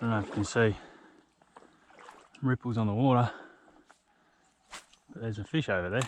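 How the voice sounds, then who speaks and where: A man with an Australian accent speaks with long, frequent pauses. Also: medium pitch for a man, ordinary pitch variation, fairly quick pace. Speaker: fishing vlogger. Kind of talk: casual vlog commentary. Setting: outdoors by a river.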